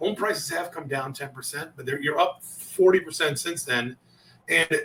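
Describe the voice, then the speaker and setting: This man has a fairly high pitch and a bright, sharp tone, with ordinary pitch variation and big swings in loudness. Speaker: sales coach. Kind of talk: interview. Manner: fast.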